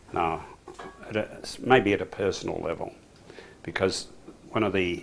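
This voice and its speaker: An Australian accent marks this man's speech. His pitch is very deep and low. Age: 70s. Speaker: men's group member. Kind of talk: interview.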